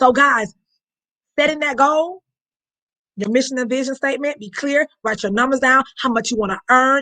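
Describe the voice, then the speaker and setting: Animated and high-pitched, a woman speaks with a bright, sharp tone. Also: dry, close sound with no echo. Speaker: network marketing team leader. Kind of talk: motivational training talk. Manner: fast.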